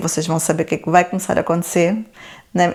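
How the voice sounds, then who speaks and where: Intonation stays fairly even in a plain, everyday voice. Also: woman. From Portugal, Lisbon area (born in Angola). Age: 40s. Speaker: YouTuber. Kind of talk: Q&A vlog.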